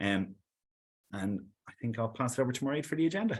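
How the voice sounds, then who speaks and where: A man with an Irish accent at a very fast pace. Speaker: sales executive. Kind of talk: webinar presentation. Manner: hesitant, repeats words.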